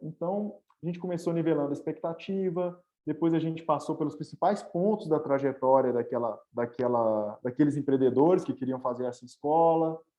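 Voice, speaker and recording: At a moderate pace, a man speaks in a fairly high voice with ordinary pitch variation. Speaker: startup executive, speaker on agile methods. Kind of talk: webinar presentation. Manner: casual, with many filler words.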